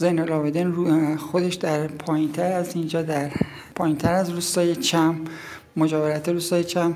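A woman speaks with a fairly low pitch and monotone, flat intonation at a moderate pace. Audible room echo and noticeable background noise surround her voice. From Iran, Yazd province village. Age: 50s. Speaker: local villager, storyteller. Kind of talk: interview, storytelling.

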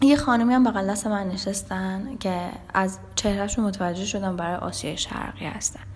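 A woman at a moderate pace and medium pitch, ordinary pitch variation, with noticeable background noise and audible room echo. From Iran. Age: 20s. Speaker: music artist manager and travel influencer. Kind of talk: interview, personal travel stories.

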